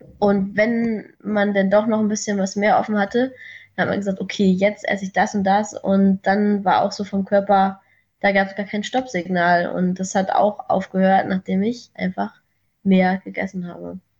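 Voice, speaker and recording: Intonation stays monotone and flat. The somewhat breathy voice keeps a moderate pace. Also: woman, medium pitch for a woman. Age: 20s. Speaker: coaching client. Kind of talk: casual chat.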